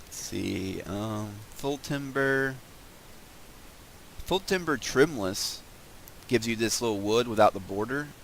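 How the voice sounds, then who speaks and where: A man speaks fairly slowly at a medium pitch, with lively intonation and long, frequent pauses. His loudness swings a lot. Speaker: gaming video creator. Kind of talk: casual gameplay commentary. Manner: mumbly at times; hesitant, many fillers.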